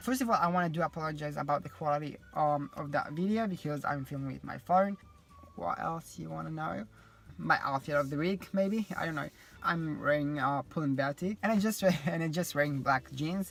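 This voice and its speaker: A fairly high-pitched male voice at a fairly quick pace, with ordinary pitch variation and music in the background. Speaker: vlogger and design student. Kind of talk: casual vlog chat. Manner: rambling with many fillers.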